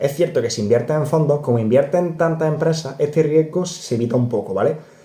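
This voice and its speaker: In an Andalusian accent, a man speaks at a very fast pace with a dark, mellow tone that is somewhat breathy. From Córdoba, Andalusia, Spain. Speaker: personal finance youtuber. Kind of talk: casual explainer video. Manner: animated, conversational.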